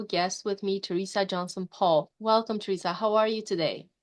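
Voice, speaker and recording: Very fast speech comes from a woman with fairly even intonation. The background is quiet. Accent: non-native. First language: not English. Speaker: podcast host. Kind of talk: interview. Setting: podcast.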